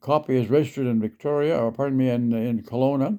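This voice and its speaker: A man speaks with a western Canadian accent. His pace is very fast. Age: 80s+. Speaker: senior sharing life advice online. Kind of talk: casual advice talk. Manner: halting, with many fillers.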